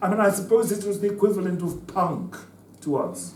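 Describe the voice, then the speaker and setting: There is audible room echo and noticeable background noise as a man speaks at a moderate pace. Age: 70s. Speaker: former liberation fighter and political speaker. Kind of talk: talk to students. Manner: halting, many repetitions.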